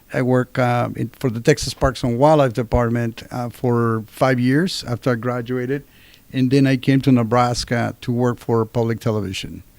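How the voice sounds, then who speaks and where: The speaker is a man with a Spanish accent. His intonation stays monotone and flat. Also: medium pitch for a man, moderate pace. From Mexico City, Mexico. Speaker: university professor. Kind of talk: interview.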